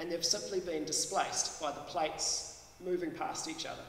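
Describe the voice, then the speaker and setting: Room echo and light background noise can be heard. A man speaks at a moderate pace in a high voice. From New Zealand. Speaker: professor. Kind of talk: public science talk. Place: hall. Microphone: podium.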